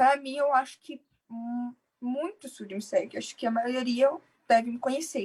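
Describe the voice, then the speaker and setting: A woman talks at a fairly slow pace. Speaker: deaf cochlear implant user, content creator. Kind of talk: casual conversation in a live stream.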